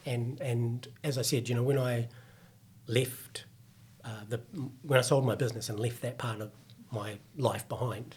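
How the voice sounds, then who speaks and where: A man with a New Zealand accent speaks at a moderate pace in a monotone, flat intonation, pitched in the medium range. His voice is somewhat breathy, and he leaves long, frequent pauses. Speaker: fitness company executive. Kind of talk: podcast interview.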